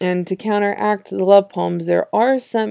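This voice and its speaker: A woman talks at a moderate pace, recorded very cleanly against a silent background. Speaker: poet and podcast host. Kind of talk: poetry reading with casual commentary; spoken word poetry reading. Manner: chatty and confessional between poems.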